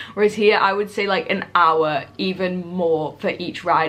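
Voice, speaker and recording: A woman with a British accent speaks at a medium pitch with ordinary pitch variation. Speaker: travel vlogger. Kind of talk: tutorial. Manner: fast; animated.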